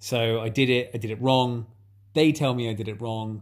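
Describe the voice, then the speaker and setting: A man with an English accent and a medium pitch. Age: 30s. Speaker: podcast host. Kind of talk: casual chat. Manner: animated.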